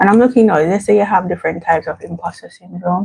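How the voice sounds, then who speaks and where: Soft-spoken and somewhat breathy, a woman talks very fast at a medium pitch with ordinary pitch variation, her tone dark and mellow in a dry, close sound with no echo. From Jamaica. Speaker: vlogger. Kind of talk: casual livestream chat. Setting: at home.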